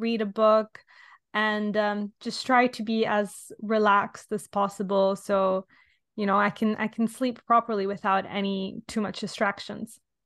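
A woman with an Italian accent speaks fairly slowly at a fairly high pitch. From Italy. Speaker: podcast host. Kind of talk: casual chat.

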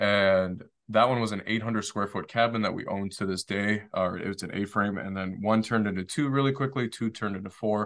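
With an American accent, a plain, everyday voice runs at a fairly quick pace with hardly any pauses. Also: man, fairly low pitch for a man. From Detroit, Michigan. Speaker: short-term rental developer and Marine veteran. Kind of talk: casual interview.

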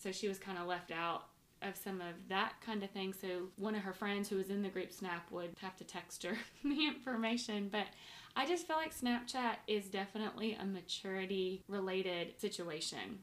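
Speaking at a moderate pace with ordinary pitch variation, this woman has a normal speaking voice. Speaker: podcast host and mother. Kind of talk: casual family chat interview. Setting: shared microphones, home recording.

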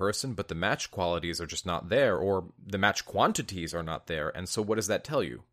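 An ordinary speaking voice from a man, fairly low in pitch, with lively intonation and a fairly quick pace, on a very clean recording with a silent background. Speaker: relationship coach and video host. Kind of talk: pep talk. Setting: video channel recording. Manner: warm, encouraging, earnest; direct, conversational, motivational.

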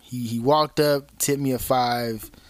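In a very clean recording with a silent background, a man with an American accent and a medium pitch talks fairly slowly with ordinary pitch variation, in a plain, everyday voice. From Fontana, Southern California. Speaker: stripper and sex worker. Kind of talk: casual interview chat.

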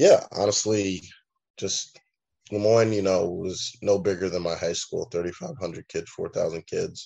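The setting is quiet. A man speaks there at a fairly slow pace. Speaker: professional baseball pitcher. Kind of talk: interview.

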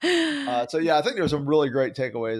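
A man with a Southern US accent talks at a very fast pace. His pitch varies in an ordinary way. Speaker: podcast co-host. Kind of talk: casual interview.

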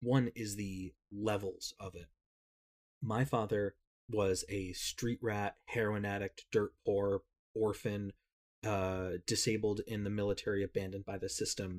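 At a fairly slow pace, a man talks in a monotone, flat way, the sound dry and close with no echo on a very clean recording with a silent background. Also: fairly low pitch for a man. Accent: American. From US Northeast (Connecticut). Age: 30s. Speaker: social media creator. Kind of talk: casual chat.

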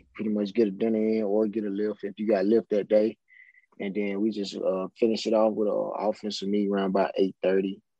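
A man's fairly low voice in a Southern US accent at a fairly quick pace. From Mississippi (Indianola). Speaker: professional football player. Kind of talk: casual interview.

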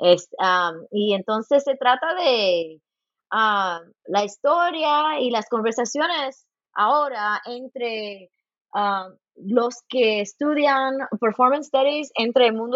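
Lively intonation runs through this speech. The speaker is a woman with a high pitch. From Los Angeles, US, Cuban and Puerto Rican parents. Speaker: folklore professor. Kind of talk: interview. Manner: halting, many repeated words; code-switching into English.

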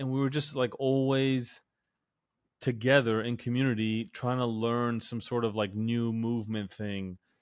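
In a normal speaking voice, a man talks at a fairly slow pace and medium pitch, with fairly even intonation over a quiet background. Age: 30s. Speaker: fitness coach and podcast host. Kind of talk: casual chat.

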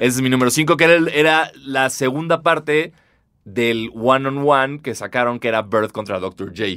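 A man speaks with a Mexican accent in a bright, sharp tone, his pitch varying in an ordinary way. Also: medium pitch for a man, moderate pace. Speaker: podcast host. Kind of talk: casual chat.

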